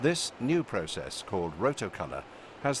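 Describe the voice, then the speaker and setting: The speaker is a man with a British accent. He talks at a moderate pace. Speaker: narrator. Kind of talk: corporate narration.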